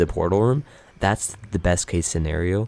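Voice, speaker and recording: The man's voice is pitched very deep and low. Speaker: gaming YouTuber. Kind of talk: gameplay commentary. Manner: stuttering, self-correcting; casual, filler-heavy.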